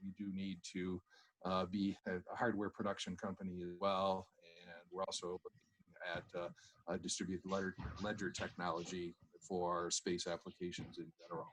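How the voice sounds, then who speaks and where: Dry and close with no echo, a man's very deep, low voice holds a monotone, flat intonation at a moderate pace. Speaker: space company business development executive. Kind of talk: webinar presentation. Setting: online webinar. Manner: halting, many fillers.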